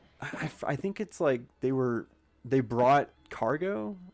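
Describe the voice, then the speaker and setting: Music plays in the background as a man speaks at a very slow pace. His pitch sits fairly high. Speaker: gaming vlogger. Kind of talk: casual monologue over gameplay. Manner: halting, many fillers and restarts.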